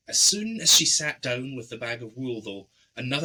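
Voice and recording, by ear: Natural voice, reading aloud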